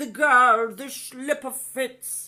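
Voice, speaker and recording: A female-sounding, put-on character voice has a fairly high pitch. Its tone is pompous. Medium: read story. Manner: pompous, shouting.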